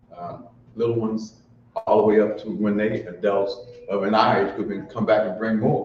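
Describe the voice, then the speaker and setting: A man at a moderate pace, fairly low in pitch with fairly even intonation, plus audible room echo and noticeable background noise. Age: 60s. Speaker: community elder leading a cultural gathering. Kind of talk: ceremonial remarks and libation at a community event.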